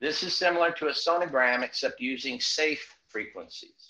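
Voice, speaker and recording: A man with an American accent, bright, sharp tone, ordinary pitch variation and moderate pace. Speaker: alternative health device enthusiast. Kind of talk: tutorial. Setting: video call.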